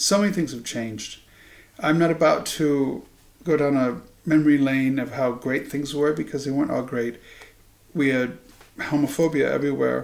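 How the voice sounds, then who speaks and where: Speaking with an American accent, a man with a fairly high pitch shows ordinary pitch variation and leaves long, frequent pauses. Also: moderate pace. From Iowa, US Midwest. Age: 60s. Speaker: political commentator. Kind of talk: monologue to camera. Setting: home living room. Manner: halting, with ums.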